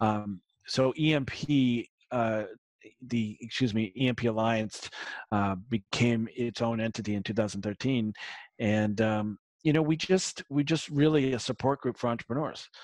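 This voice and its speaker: A man's medium-pitched voice at a fairly slow pace, with a slight Boston accent, ordinary pitch variation, and a dry, close sound with no echo. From Massachusetts, south of Boston. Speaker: marketing consultant. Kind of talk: interview. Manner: casual, hesitant with fillers.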